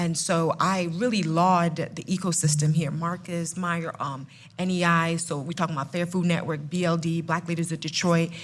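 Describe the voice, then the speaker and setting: A woman with a fairly low, somewhat breathy voice talks at a moderate pace in a monotone, flat intonation with hardly any pauses. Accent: New Jersey. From New Jersey, Ghanaian family. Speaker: food company CEO. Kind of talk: live panel podcast. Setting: live event with audience.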